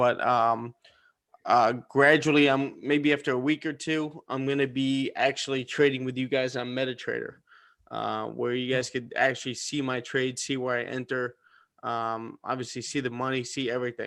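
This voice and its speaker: A man with a New Jersey accent and monotone, flat intonation. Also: medium pitch for a man, moderate pace, very clean recording, silent background. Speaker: forex trading mentor. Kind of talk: live-stream trading session chat.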